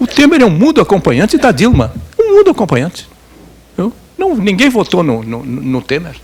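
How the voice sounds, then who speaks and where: A man is speaking. His pace is moderate. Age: 80s+. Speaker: journalist and former political prisoner. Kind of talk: lecture. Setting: seminar talk with audience. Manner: conversational with hesitations and repetitions.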